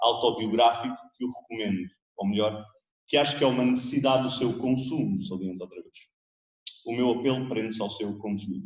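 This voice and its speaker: A man speaks at a moderate pace in a European Portuguese accent. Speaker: theatre director presenting a book. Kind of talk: book presentation speech. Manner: formal.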